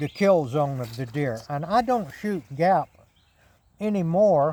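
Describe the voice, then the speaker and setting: Over noticeable background noise, a man with a fairly high pitch speaks slowly-ish, at a fairly slow pace, with lively intonation. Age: 70s. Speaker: bowhunter. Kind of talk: outdoor demonstration. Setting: outdoors at shooting range. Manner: casual, folksy.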